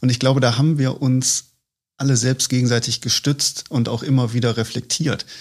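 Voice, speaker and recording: On a very clean recording with a silent background, a man speaks at a moderate pace in a normal speaking voice. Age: 30s. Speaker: head of corporate communications and marketing. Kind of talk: casual interview conversation. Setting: studio, at a table. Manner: frequent fillers.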